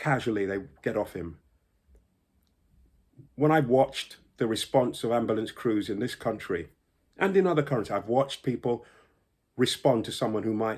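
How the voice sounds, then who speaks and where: With a London accent, a man speaks at a moderate pace with lively intonation, broken by long, frequent pauses. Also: very clean recording, silent background. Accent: British English, London. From United Kingdom. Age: 60s. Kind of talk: personal testimony to camera.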